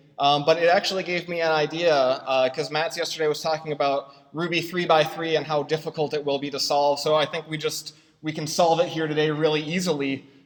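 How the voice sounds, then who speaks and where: Noticeable background noise accompanies a man whose fairly high voice stays monotone and flat. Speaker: software consultant and conference speaker. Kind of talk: conference talk. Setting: stage with audience and projector. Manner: fast; halting, many fillers.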